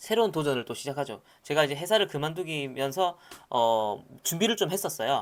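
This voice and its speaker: On a very clean recording with a silent background, a man speaks in an animated tone with lively intonation and fairly high pitch. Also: fairly quick pace. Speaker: startup lecturer. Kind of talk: lecture. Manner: casual, animated.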